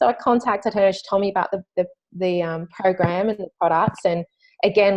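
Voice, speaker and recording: A woman speaks with an Australian accent. Her intonation stays fairly even. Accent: thick Australian. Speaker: network marketing distributor. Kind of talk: testimony. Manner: halting.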